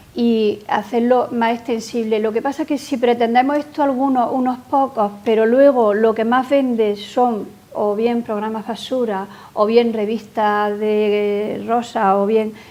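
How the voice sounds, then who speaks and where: A woman speaks at a fairly slow pace with a fairly high pitch and fairly even intonation over noticeable background noise. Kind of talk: interview answer.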